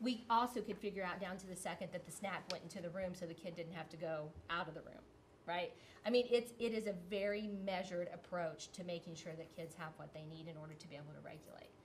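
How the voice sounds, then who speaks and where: A woman talks at a very fast pace with a fairly low pitch and ordinary pitch variation. Her voice is somewhat breathy, with big swings in loudness. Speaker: school principal. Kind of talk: presentation to school board.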